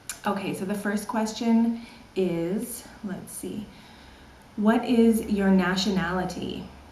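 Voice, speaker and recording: A woman's medium-pitched voice in a Canadian accent, with fairly even intonation, audible room echo and noticeable background noise. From Canada, British Columbia. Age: 30s. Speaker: online English teacher. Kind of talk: casual vlog Q&A.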